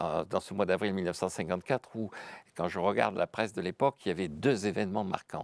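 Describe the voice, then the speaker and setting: In a very clean recording over a silent background, a man speaks with a very deep, low pitch. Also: dry, close sound with no echo. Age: 70s. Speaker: economics professor. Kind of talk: interview. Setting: studio.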